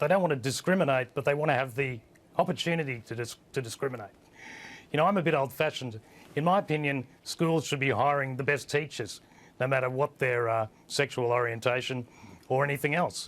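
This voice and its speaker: A man with an Australian accent talks at a fairly quick pace with ordinary pitch variation. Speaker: online news editor and publisher. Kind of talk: TV panel discussion. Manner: hesitant, many fillers.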